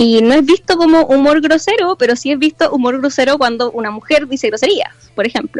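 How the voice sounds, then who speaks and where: Talking fairly quickly in a Chilean accent, a woman uses a high pitch and lively intonation, with a dry, close sound with no echo and noticeable background noise. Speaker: university student. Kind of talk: casual chat.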